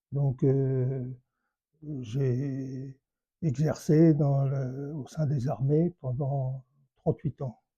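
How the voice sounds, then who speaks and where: Very slowly and with long, frequent pauses, a man speaks in a dark, mellow, somewhat breathy tone with monotone, flat intonation. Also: dry, close sound with no echo, quiet background. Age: 80s+. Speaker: retired army general. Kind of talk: life story interview. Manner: halting, many hesitations.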